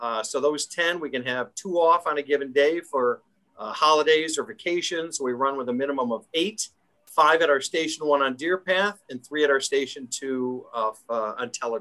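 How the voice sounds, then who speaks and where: With a Chicago accent, a man speaks at a moderate pace in a bright, sharp tone, his fairly high pitch showing ordinary variation. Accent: Chicago-area American. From Illinois, Chicago northwest suburbs. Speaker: fire department division chief. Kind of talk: interview.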